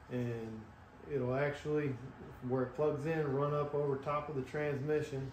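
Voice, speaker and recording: Light background noise and audible room echo accompany a man whose intonation is fairly even. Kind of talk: tutorial. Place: garage. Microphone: camera far.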